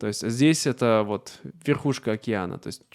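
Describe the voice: A man speaks with a slightly mellow tone.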